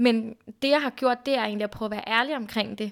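A woman speaks at a fairly high pitch in a monotone, flat way. The recording is very clean and the background silent. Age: 20s. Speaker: podcast guest sharing personal story. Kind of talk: casual conversation. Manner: hesitant, many fillers.

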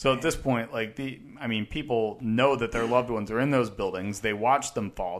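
A man talks at a medium pitch with ordinary pitch variation, an unremarkable speaking voice. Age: 30s. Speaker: podcast co-host. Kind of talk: casual chat. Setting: studio.

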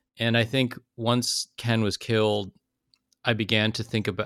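Speaking with an American accent, a man with a fairly low pitch keeps a moderate pace. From California (South Bay). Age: 40s. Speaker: memoirist. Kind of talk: interview.

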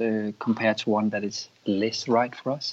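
The speaker talks at a fairly slow pace with a Danish accent. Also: man. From Denmark. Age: 50s. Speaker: yoga teacher and former dancer.

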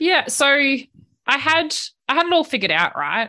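Against a quiet background, a woman with an Australian accent speaks in a bright, sharp tone. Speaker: career advice podcast host. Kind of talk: interview conversation.

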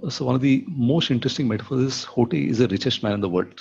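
A man talks at a fairly quick pace with a somewhat breathy voice. His pitch sits in the medium range with ordinary variation. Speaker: venture capitalist and entrepreneur. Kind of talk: casual interview. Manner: frequent filler 'okay'.

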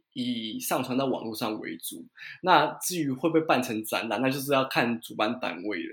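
On a very clean recording with a silent background, a man at medium pitch has an ordinary speaking voice. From Taiwan. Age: 30s. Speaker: watercolor painter and guesthouse owner. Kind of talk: interview.

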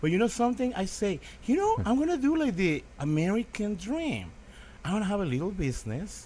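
A man with a Mexican accent speaks in an animated tone at a fairly quick pace. His pitch is high for a man and swings very widely. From Mexico. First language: Spanish. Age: 50s. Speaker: restaurant owner and former street artist. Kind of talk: casual chat. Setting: restaurant.

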